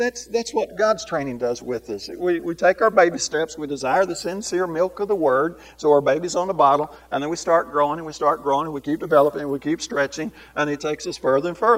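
A man with an unremarkable speaking voice speaks at a fairly quick pace, his fairly high pitch carried by lively intonation. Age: 60s. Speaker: preacher. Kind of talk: sermon. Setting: live lesson before a congregation.

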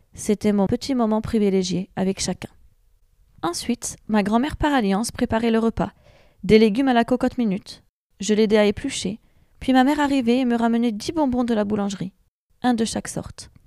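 On a very clean recording with a silent background and a dry, close sound with no echo, a woman with a fairly high pitch and a dark, mellow tone talks at a fairly quick pace with ordinary pitch variation and long, frequent pauses. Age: 30s. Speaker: patient. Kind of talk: testimony.

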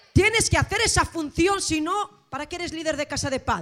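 Over noticeable background noise, a woman with an extremely high pitch speaks in a raised, projected voice with an animated tone and lively intonation. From Spain, Asturias (Gijón). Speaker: pastor. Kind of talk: sermon.

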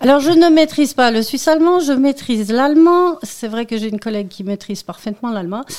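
A woman speaks at a very fast pace and high pitch with hardly any pauses and big swings in loudness. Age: 50s. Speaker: local election candidate and tour guide. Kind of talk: radio interview. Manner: halting, with repetitions.

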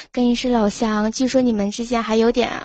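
A high-pitched woman with monotone, flat intonation. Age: 20s. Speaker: university student. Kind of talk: casual chat. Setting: call-in from dorm room.

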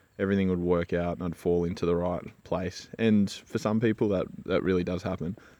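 Against a quiet background, a man with a very deep, low pitch speaks with an Australian accent. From Australia, Gold Coast, Queensland. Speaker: podcast host, engineer. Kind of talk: solo monologue, personal story. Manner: casual, with many filler words.

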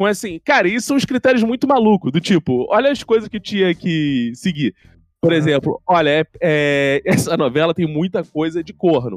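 With a Rio de Janeiro accent, a man talks at a high pitch with very wide pitch swings and a moderate pace, in a dry, close sound with no echo. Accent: Carioca Brazilian Portuguese. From Rio de Janeiro, Brazil. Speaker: comedy writer. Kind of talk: casual chat.

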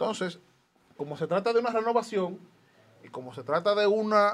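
A man's fairly quick speech carries lively intonation. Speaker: political party activist. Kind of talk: political commentary.

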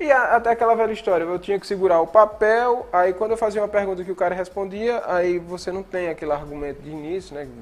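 A man with a high pitch talks at a very fast pace with hardly any pauses, ordinary pitch variation and big swings in loudness. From Paraíba, Brazil (Cariri, rural Monteiro). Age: 30s. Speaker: broadcaster and video producer. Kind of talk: casual interview.

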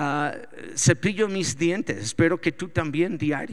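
This man speaks at a fairly slow pace. His pitch is high and his intonation lively. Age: 40s. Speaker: pastor. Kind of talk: sermon. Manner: halting.

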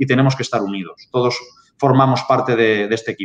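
A man speaks at a medium pitch and a fairly quick pace, with ordinary pitch variation. His is an unremarkable speaking voice. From Spain. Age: 30s. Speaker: pig farming data consultant. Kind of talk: webinar presentation.

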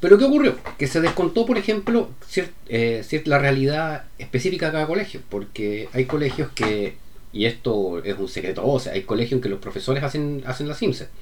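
A man with a Chilean accent speaks at a moderate pace. His fairly high voice moves through very wide pitch swings. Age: 40s. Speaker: podcaster. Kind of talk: monologue. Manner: halting.

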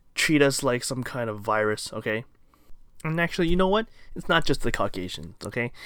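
A man's medium-pitched voice at a fairly quick pace, with very wide pitch swings, on a very clean recording with a silent background. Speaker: podcast host. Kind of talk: angry rant. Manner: fiery, forceful, emphatic; defiant, repetitive, pressing for agreement.

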